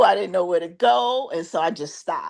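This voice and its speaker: Here a woman talks in a New York accent. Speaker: genealogy researcher. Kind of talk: self-introduction in a group video call.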